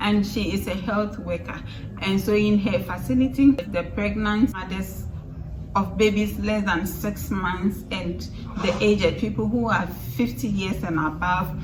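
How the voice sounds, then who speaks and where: A woman speaks at a fairly slow pace in a medium pitch with lively intonation. Noticeable background noise and audible room echo are present. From Ghana. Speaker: vlogger. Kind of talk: casual vlog storytelling.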